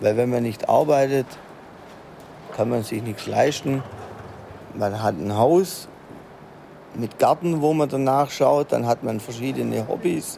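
Noticeable background noise surrounds a man of medium pitch with ordinary pitch variation. He speaks at a very slow pace with long, frequent pauses. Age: 50s. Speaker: foundry manager. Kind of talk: interview and work narration. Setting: foundry hall.

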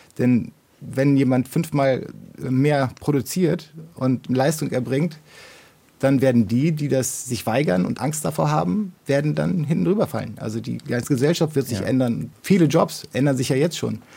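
A man speaks at a medium pitch in a dark, mellow tone with vocal fry. His intonation is lively and his pace moderate. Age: 50s. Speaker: software developer, listener guest. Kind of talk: casual discussion.

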